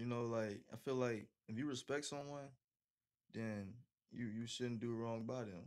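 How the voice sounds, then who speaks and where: Speaking with fairly even intonation, a man keeps a fairly slow pace. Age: 20s. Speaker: college football player; interview guest. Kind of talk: interview. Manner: casual, filler-heavy. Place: home room. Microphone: studio mic.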